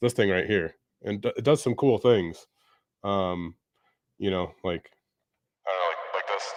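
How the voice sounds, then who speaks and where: A man at a moderate pace, fairly low in pitch, with ordinary pitch variation and long, frequent pauses. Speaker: IT career advice streamer. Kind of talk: live stream Q&A. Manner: casual, halting with fillers.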